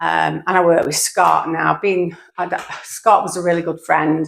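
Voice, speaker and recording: A woman's fairly low voice with vocal fry. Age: 60s. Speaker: retired small business owner. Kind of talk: casual vlog monologue. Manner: halting.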